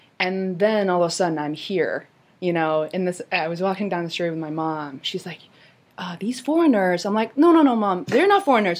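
With a Chinese accent, a woman speaks at a fairly quick pace with lively intonation, big swings in loudness, and long, frequent pauses. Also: medium pitch for a woman. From China. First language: Mandarin Chinese. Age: 30s. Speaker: podcast host. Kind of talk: scripted intro and casual interview.

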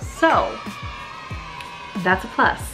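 Clear background music behind a woman's voice. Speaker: cooking vlogger. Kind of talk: casual vlog chat. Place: kitchen.

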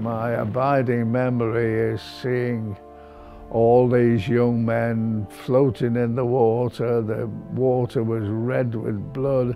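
Over faint background music, a man with a British accent talks very slowly in a monotone with flat intonation. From Britain. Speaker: war veteran. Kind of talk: interview answer. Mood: solemn, emotional remembering. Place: home room. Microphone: lapel.

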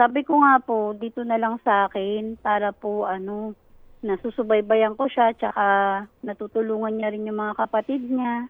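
A woman speaks in a plain, everyday voice at a moderate pace. Her pitch is fairly high and her intonation fairly even. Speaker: manicurist. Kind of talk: phone interview. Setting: phone call.

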